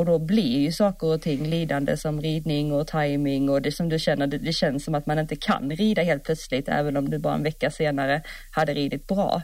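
Her pitch very deep and low, a woman talks at a fairly quick pace with hardly any pauses, keeping very even loudness and fairly even intonation. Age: 30s. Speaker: podcast co-host, horse rider. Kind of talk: casual chat.

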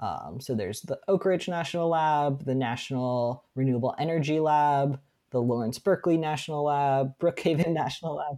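Hardly pausing, a woman speaks at a very deep, low pitch in a dark, mellow tone with ordinary pitch variation. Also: moderate pace. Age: 30s. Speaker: battery research scientist and PhD student. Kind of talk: casual interview.

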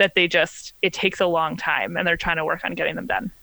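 A woman with vocal fry and a bright, sharp tone speaks at a fairly low pitch, the sound dry and close with no echo. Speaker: law graduate, podcaster. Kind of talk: casual chat. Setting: video call. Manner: fast talker; animated.

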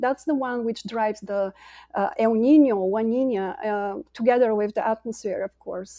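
Speaking with a Bulgarian accent, a woman uses a fairly high pitch with ordinary pitch variation. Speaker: climate scientist and company co-founder. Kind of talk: interview. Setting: video call.

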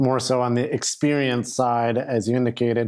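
A man talks at a moderate pace at a medium pitch, in an ordinary speaking voice. The recording is very clean with a silent background. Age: young. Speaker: podcast host. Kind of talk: interview.

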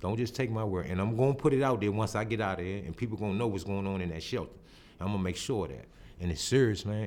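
Someone speaks at a very fast pace with ordinary pitch variation, with audible room echo. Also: man. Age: 40s. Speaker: street newspaper vendor and writer. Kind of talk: interview, personal testimony. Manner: halting, repeats words.

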